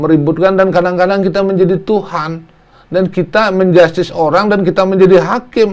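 A man speaks fast-ish, at a fairly quick pace. His pitch is high, and his intonation is fairly even. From Indonesia, Lampung. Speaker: politician, member of national parliament. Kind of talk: interview talk show.

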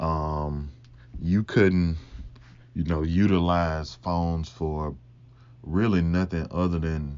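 A man with a Mississippi accent speaks at a very slow pace, with a very deep, low pitch. His intonation is fairly even, and he takes long, frequent pauses. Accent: Southern US (Mississippi). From Mississippi, US South. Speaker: podcast host. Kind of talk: casual solo chat, game of would you rather.

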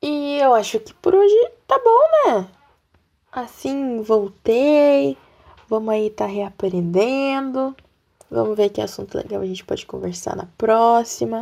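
At a fairly slow pace, a woman speaks in an animated tone with long, frequent pauses and big swings in loudness. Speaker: podcaster. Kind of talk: casual monologue.

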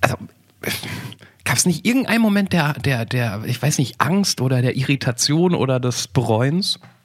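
A man's fairly high voice at a moderate pace, with lively intonation, very even loudness and noticeable background noise. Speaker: podcast host. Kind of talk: casual chat.

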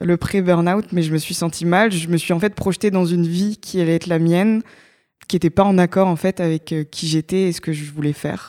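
Recorded very cleanly against a silent background, a woman with a dark, mellow tone and fairly low pitch talks at a fairly quick pace with fairly even intonation in a dry, close sound with no echo. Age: 20s. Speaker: startup co-founder and digital decarbonisation researcher. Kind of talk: podcast interview.

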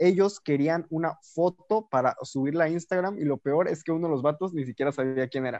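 A man with a normal speaking voice and a fairly high pitch talks at a fairly quick pace with ordinary pitch variation, in a dry, close sound with no echo. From Veracruz, Mexico. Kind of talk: casual chat.

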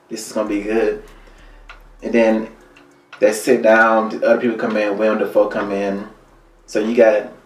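There is audible room echo around this man's voice. He speaks at a fairly quick pace with an Alabama accent. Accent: Southern US (Alabama). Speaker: actor and musician. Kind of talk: interview.

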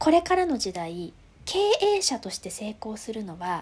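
The woman's pitch ranges very widely. Her speed stays moderate. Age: 30s. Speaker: stuffed-toy business founder. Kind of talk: interview. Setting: video call.

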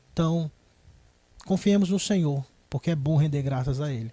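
Somewhat breathy and dark, mellow in tone, a man with a fairly high pitch speaks at a moderate pace with ordinary pitch variation on a very clean recording with a silent background. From Ceará, Brazil. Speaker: pastor. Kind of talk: religious panel discussion. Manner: formal.

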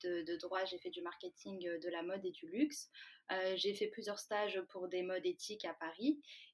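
Lively intonation marks an unremarkable speaking voice going at a moderate pace. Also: woman. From France, Valence. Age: 20s. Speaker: food startup co-founder. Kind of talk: interview.

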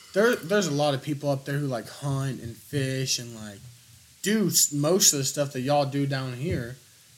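This man has a plain, everyday voice, pitched fairly high with lively intonation. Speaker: podcast host. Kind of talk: casual chat. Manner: casual, laid-back.

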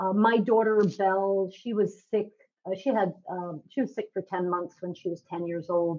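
A woman speaks at medium pitch and a moderate pace. It is an ordinary speaking voice with fairly even intonation. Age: 50s. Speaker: nutritionist. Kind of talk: interview.

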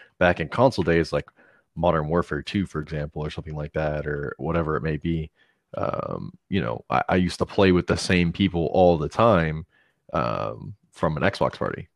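Over a quiet background, a man speaks at a moderate pace with vocal fry. His pitch is very deep and low. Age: 20s. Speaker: gaming podcast co-host. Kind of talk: casual chat.

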